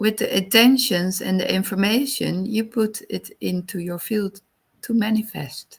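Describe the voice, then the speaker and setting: Speaking in a Dutch accent, the voice moves at a fairly slow pace. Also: woman. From Netherlands. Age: 40s. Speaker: wellness coach. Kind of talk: podcast monologue. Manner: halting.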